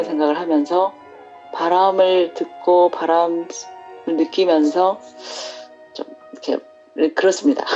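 A woman talks at a very slow pace with long, frequent pauses, her pitch fairly low and its variation ordinary. Music plays in the background. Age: 50s. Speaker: homemaker. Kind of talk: interview answer.

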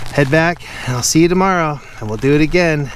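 A man at a moderate pace, dry sound with no echo and light background noise. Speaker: daily walking vlogger. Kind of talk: casual vlog chat. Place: rain. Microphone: phone near.

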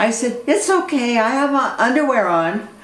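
At a very slow pace, a woman speaks with audible room echo. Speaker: video blogger. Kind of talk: casual vlog chat. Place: home room. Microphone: webcam.

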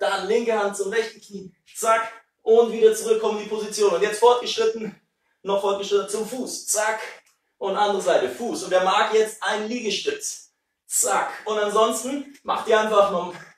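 Audible room echo surrounds a man who speaks at a high pitch and a moderate pace, his intonation fairly even. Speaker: fitness instructor. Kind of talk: workout instruction. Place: kitchen. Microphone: camera far.

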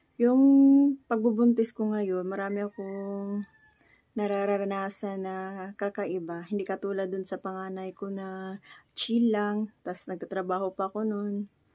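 Against a quiet background, a woman with a Visayan accent speaks fairly slowly at a medium pitch, her dark, mellow tone held in a monotone, flat intonation. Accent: Bisaya (Cebuano). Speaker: vlogger. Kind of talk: casual talk to camera. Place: home room. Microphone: phone near.

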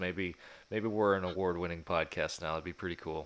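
A man with an American accent, very deep low pitch, flat monotone intonation, and a fairly quick pace. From Texas. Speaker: hunting podcast host. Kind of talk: casual chat. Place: home room. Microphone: studio mic.

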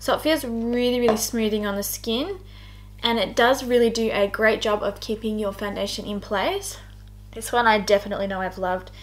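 Music plays in the background. The speech moves at a fairly quick pace with fairly even intonation. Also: woman. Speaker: beauty vlogger. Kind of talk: tutorial. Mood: cheerful, chatty. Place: home room.

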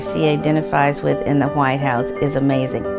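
A woman speaks at a moderate pace over loud background music. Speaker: granddaughter or grandson of the voter. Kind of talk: interview answer. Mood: warm, proud. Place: home room.

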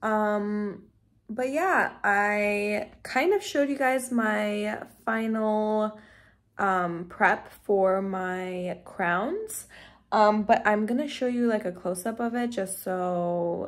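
Over a quiet background, a woman talks at a very slow pace with ordinary pitch variation. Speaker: dental student vlogger. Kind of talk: casual vlog chat. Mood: relaxed, slightly flustered. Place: home room. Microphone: phone near.

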